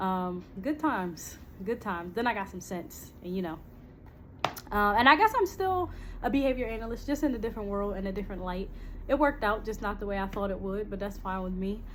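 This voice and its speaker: A woman with an American accent speaks at a fairly quick pace and medium pitch. Her pitch varies in an ordinary way, with noticeable background noise behind her. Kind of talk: casual channel intro monologue. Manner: fast; hesitant, many fillers.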